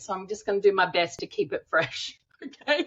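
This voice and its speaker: With an Australian accent, a woman speaks in an animated tone at a medium pitch. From Middle East (Dubai), Australian. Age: 40s. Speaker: author and cannabis industry advocate. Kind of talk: casual interview chat.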